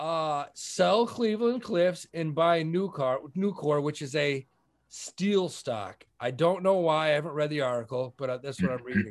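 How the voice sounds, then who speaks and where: A man at a fairly slow pace, with lively intonation. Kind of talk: casual banter about investing. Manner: joking, profane.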